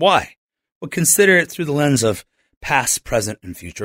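In a very clean recording with a silent background and a dry, close sound with no echo, a man with an American accent talks at a fairly high pitch with very wide pitch swings and vocal fry. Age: 40s. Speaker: pastor. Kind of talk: radio interview; sermon.

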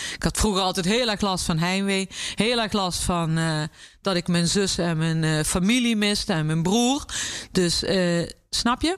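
A woman's plain, everyday voice at a medium pitch, fairly slow, with ordinary pitch variation, very even loudness, and a very clean recording over a silent background. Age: 50s. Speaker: chef and restaurant owner. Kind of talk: interview.

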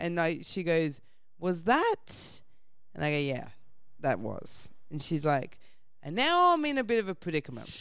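With an Australian accent, a woman talks at a moderate pace, pausing long and often. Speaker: comedian. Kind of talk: storytelling anecdote.

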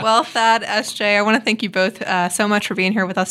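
Talking at a very fast pace, a woman has a bright, sharp tone and fairly even intonation, recorded very cleanly against a silent background. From Mississippi. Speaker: podcast host, business journalist. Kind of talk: podcast interview.

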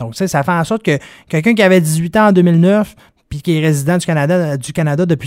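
This man has a plain, everyday voice at a fairly high pitch. He talks at a fairly quick pace with ordinary pitch variation. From Quebec, Dolbeau-Mistassini. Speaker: wealth management advisor. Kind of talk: explanatory interview. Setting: studio.

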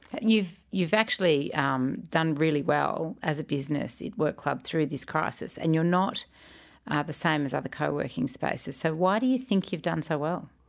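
A woman's very deep, low voice with an Australian accent, lively intonation and a moderate pace, on a very clean recording with a silent background. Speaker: podcast host. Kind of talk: interview.

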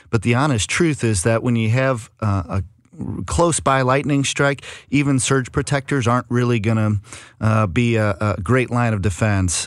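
A man speaks in an unremarkable speaking voice at a medium pitch. His pace is moderate, with ordinary pitch variation. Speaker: home improvement consultant. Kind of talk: radio call-in advice. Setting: studio.

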